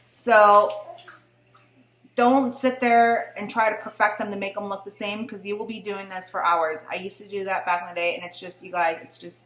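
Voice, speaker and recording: Over music in the background, a woman speaks at a medium pitch with audible room echo. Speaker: beauty vlogger. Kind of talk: tutorial. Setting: at home with her baby nearby. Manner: casual, with fillers.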